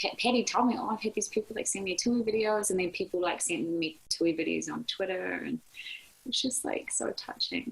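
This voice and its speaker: A woman talks at a fairly quick pace in a New Zealand accent. Noticeable background noise runs behind her. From New Zealand, Hawke's Bay. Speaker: ICU nurse. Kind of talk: interview. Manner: animated.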